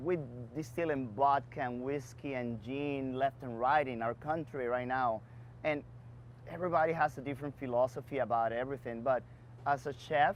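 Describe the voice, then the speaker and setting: A man with a Dominican accent, medium in pitch, moderate in pace and fairly even in intonation. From Dominican Republic. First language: Spanish. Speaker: bar and beverage entrepreneur. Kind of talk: interview Q&A.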